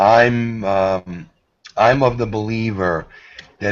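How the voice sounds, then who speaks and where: A man with a New York accent. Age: 50s. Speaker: karate instructor. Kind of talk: video call chat.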